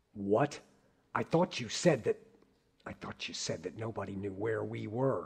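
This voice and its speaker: A raspy, put-on character voice from a man, medium in pitch, with lively intonation, a moderate pace and long, frequent pauses. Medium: audio drama. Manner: casual, wisecracking.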